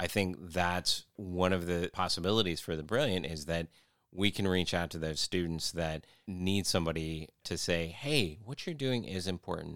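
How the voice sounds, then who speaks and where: On a very clean recording with a silent background, a man speaks at a moderate pace with a very deep, low pitch and ordinary pitch variation. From Philippines. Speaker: nonprofit founder and team leader. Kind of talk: interview.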